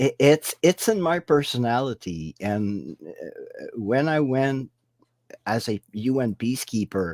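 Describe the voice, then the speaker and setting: Speaking at a very slow pace, a man with a medium pitch swings his voice very widely up and down. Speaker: paranormal investigator. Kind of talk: interview. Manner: halting.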